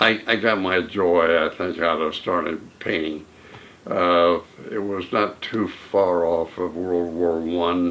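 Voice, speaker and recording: A man speaks at a very slow pace with a very deep, low pitch. His intonation is monotone and flat. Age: 80s+. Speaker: WWII Navy veteran and painter. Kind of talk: interview answer. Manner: hesitant, halting.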